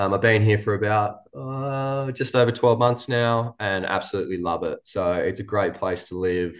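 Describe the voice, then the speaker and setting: Hardly pausing at all, a man with an Australian accent talks at a fairly low pitch. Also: ordinary pitch variation, moderate pace. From New South Wales, Australia. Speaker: professional cricketer. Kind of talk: casual interview. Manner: hesitant, many fillers.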